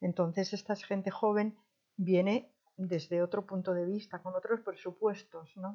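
This woman talks at a fairly slow pace with flat, monotone intonation and a medium pitch. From Spain, Madrid. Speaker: retired volunteer advisor. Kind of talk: interview. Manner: halting.

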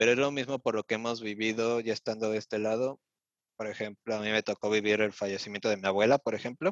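Against a quiet background, a man with a fairly low voice talks at a very fast pace with fairly even intonation, the sound dry and close with no echo. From Mexico City. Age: 20s. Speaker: vocational apprentice. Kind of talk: interview.

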